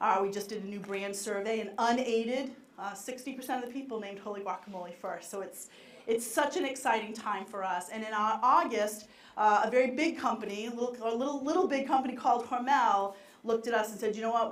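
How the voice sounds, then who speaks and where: With a Boston accent, a woman talks very fast in an energetic tone and a fairly high voice with ordinary pitch variation, amid audible room echo and noticeable background noise. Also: big swings in loudness. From Boston area, US. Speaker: marketing executive. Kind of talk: conference keynote talk. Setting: stage with live audience. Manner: fast when excited.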